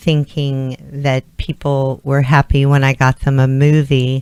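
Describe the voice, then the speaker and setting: A woman with a very deep, low pitch speaks very slowly in a monotone, flat delivery, with a dry, close sound and no echo. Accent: American. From Texas (Clear Lake, Houston area). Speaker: modeling and acting agency owner. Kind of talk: talk show interview.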